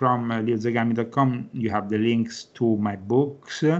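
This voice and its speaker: Using fairly even intonation, a man speaks in a medium pitch with an Italian accent. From Rome, Italy. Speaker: author and Vatican correspondent. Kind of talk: interview.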